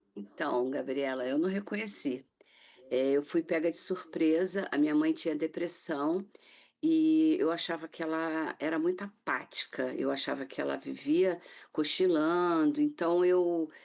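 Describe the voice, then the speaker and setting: Fairly slow speech from a woman, fairly low in pitch, with ordinary pitch variation. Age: 60s. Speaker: author and caregiver of mother with Alzheimer's. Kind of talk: TV interview testimony. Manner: halting, with frequent fillers.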